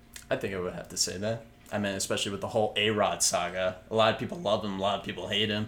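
Over noticeable background noise, a man talks very fast at a fairly low pitch with fairly even intonation. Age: 20s. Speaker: podcast host. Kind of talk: casual chat.

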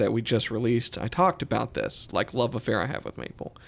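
This man, in an unremarkable speaking voice, keeps a medium pitch and a moderate pace. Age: 40s. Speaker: guitar podcast host. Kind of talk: casual chat.

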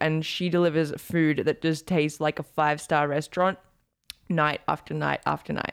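A woman speaks at a moderate pace with a fairly low voice. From Australia. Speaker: podcast co-host, personal trainer. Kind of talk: casual chat. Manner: awkward.

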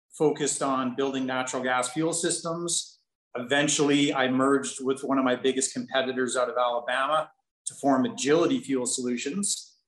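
Moderate pace and fairly even intonation in an ordinary speaking voice. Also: man. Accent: Canadian. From Kelowna, British Columbia, Canada. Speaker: business executive. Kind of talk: casual interview.

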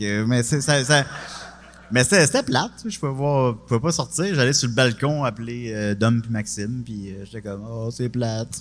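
A man talks at a moderate pace with a Quebec accent. His pitch sits in the medium range with ordinary variation. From Quebec, Charny near Quebec City. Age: 30s. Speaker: comedian. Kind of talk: casual chat.

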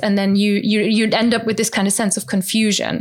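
A woman speaks with a German accent. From rural Germany. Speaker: language teacher and podcaster. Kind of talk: interview.

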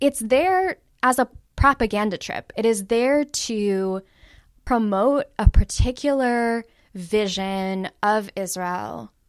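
Speaking at a very slow pace, a woman with an American accent has a fairly high pitch and ordinary pitch variation, recorded very cleanly against a silent background with a dry, close sound and no echo. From US West Coast, Los Angeles. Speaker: academic and activist organizer. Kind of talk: interview.

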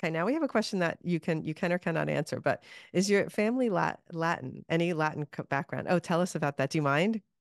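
A woman with a fairly low pitch and vocal fry talks very fast, with hardly any pauses and ordinary pitch variation. The sound is dry and close with no echo, over a quiet background. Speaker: podcast host. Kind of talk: interview, live workshop chat. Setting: live online workshop.

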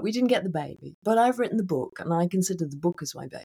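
Her pitch swinging very widely, a woman with a British accent is heard in a dry, close sound with no echo. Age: 50s. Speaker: author and midlife mentor. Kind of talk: interview.

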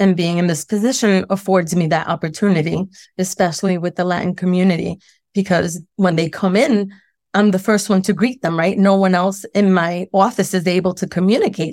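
A woman with a normal speaking voice talks at a fairly quick pace and medium pitch, keeping very even loudness and ordinary pitch variation. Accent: American. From Brooklyn, New York. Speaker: school principal. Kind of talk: interview. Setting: radio studio interview.

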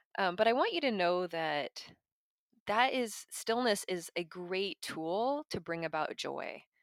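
Lively intonation comes through in a very clean recording with a silent background and a dry, close sound with no echo. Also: woman. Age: 40s. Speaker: podcast host on mental health. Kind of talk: solo monologue podcast.

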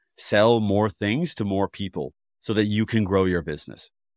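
A man talks at a moderate pace. The recording is very clean with a silent background and a dry, close sound with no echo. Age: 30s. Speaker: podcast host, former filmmaker. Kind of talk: casual interview chat.

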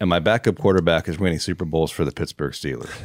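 A man with an American accent speaks on a very clean recording with a silent background. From Oregon. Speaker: podcast host. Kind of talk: casual interview.

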